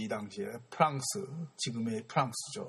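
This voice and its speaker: A man's medium-pitched, somewhat breathy voice at a moderate pace. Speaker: art history lecturer. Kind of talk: lecture. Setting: museum gallery. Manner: halting.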